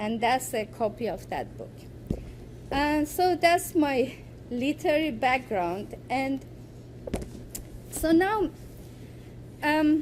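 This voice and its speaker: Very slowly and with long, frequent pauses, a woman with an Iranian accent speaks at a high pitch with lively intonation. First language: Farsi. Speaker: poet and writer. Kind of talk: academic presentation. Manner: halting.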